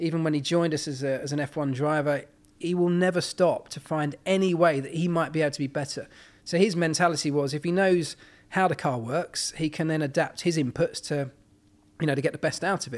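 On a very clean recording with a silent background, a man with a British accent talks fairly quickly at a fairly high pitch with fairly even intonation. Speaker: former Formula One mechanic and motorsport pundit. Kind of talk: casual podcast interview. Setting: in person on a sofa at hosts' home.

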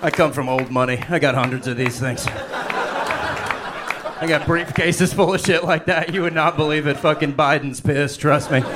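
A fairly high-pitched man at a moderate pace with hardly any pauses, over noticeable background noise. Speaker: comedian. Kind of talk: stand-up. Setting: stage with audience. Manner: animated.

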